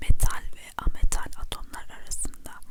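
A woman whispering at a fairly slow pace, with noticeable background noise. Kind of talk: ASMR chemistry lesson. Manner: whispered.

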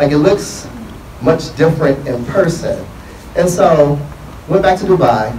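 An American-accented man speaks at a fairly slow pace with ordinary pitch variation and long, frequent pauses. The room echo is audible, and there is light background noise. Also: fairly high pitch for a man. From Detroit, Michigan. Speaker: investment firm CEO; panelist. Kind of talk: panel discussion. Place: hall. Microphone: handheld.

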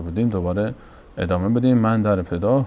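A man's fairly low voice at a moderate pace with ordinary pitch variation. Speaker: TV program host. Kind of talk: show opening address. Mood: warm, welcoming. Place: studio. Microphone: lapel.

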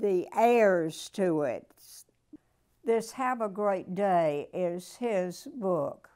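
Against a quiet background, a woman talks very slowly in a dark, mellow tone with ordinary pitch variation. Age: 90s. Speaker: weekly motivational speaker reading a poem. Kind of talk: poem reading aloud, warm and personable, with a short chatty intro. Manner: slow, measured, deliberate; warm, grandmotherly, sincere. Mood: calm, gentle, inspirational. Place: home room. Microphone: lapel.

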